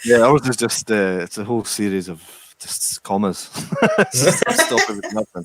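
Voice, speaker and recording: At a medium pitch and moderate pace, a man talks with ordinary pitch variation and big swings in loudness, the sound dry and close with no echo. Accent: Scottish. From Scotland. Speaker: distillery worker. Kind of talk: casual chat.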